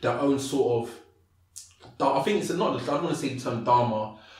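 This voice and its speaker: Audible room echo and noticeable background noise surround a man talking very fast. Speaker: motivational speaker. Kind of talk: podcast interview.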